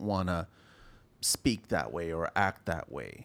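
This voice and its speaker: A man's voice with vocal fry. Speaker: podcast host. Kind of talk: casual chat.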